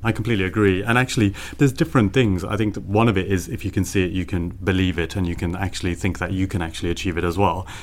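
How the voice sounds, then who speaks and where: With a Birmingham accent, a man talks at a very fast pace in a very deep, low pitch. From Birmingham, England. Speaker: marketing professional. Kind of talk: panel discussion.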